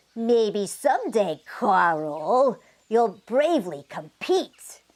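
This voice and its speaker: In a put-on character voice, a female-sounding speaker goes at a very slow pace, her fairly high pitch making very wide swings. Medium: read story.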